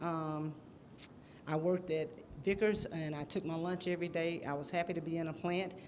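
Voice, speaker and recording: In a Southern US accent, a woman with a fairly low pitch speaks in a monotone, flat intonation with audible room echo. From US South, Jackson. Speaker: city council candidate. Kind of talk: campaign speech. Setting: church hall with audience. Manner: halting.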